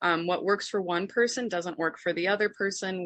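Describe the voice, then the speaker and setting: Against a quiet background, a woman talks at a fairly quick pace in a bright, sharp tone, with fairly low pitch and fairly even intonation. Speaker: insurance specialist. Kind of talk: webinar presentation. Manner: fast.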